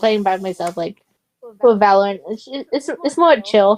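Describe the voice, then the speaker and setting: In an American accent, a woman at a medium pitch talks at a moderate pace with lively intonation, the sound dry and close with no echo. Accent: Asian American. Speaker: gaming streamer. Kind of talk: casual chat. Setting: live stream. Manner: hesitant, many fillers.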